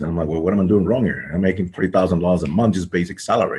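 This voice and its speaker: A somewhat breathy man with a very deep, low pitch, talking at a very fast pace. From grew up overseas in several countries. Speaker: credit repair business owner. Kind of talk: podcast interview. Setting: podcast recording. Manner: hesitant, many fillers.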